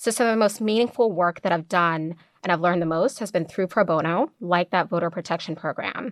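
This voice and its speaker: An American accent marks this woman's normal speaking voice, fairly low in pitch with ordinary variation, at a fairly quick pace with hardly any pauses. The sound is dry and close with no echo, in a very clean recording with a silent background. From Kenya, then North Carolina. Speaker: lawyer. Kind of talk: interview. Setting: studio.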